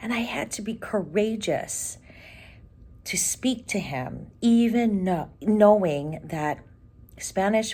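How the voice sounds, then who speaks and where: Her voice has a dark, mellow tone, sitting at a medium pitch with ordinary pitch variation. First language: Ilocano. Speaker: podcast host, career coach. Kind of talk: casual podcast monologue. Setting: recording on the road, before a conference. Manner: animated.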